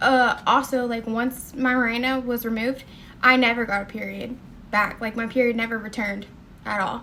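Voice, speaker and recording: With a Southern US accent, a woman speaks at a moderate pace in a fairly high pitch, her tone bright and sharp but her intonation monotone and flat. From US South. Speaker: nursing student and vlogger. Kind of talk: personal testimony vlog. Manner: casual, many fillers.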